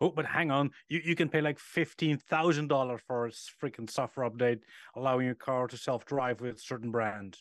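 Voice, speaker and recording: Speaking at a fairly quick pace with a Dutch accent, a man uses a medium pitch and ordinary pitch variation, the sound dry and close with no echo against a quiet background. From Netherlands. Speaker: car podcast co-host. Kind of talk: casual chat.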